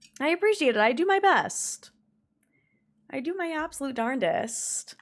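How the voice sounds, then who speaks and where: A woman speaks with very wide swings in pitch. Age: 20s. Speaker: video game streamer. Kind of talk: casual chat. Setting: live stream. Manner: animated.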